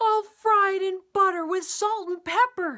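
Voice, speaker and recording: Delivered at a moderate pace, the put-on character voice is squeaky and extremely high in pitch. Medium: read story.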